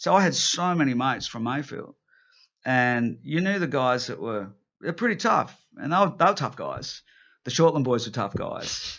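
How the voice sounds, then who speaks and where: A man talks at a moderate pace in a fairly high voice. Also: lively intonation. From Newcastle, New South Wales, Australia. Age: 50s. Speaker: rock guitarist and songwriter. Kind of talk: casual interview chat. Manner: animated, with many restarts and fillers.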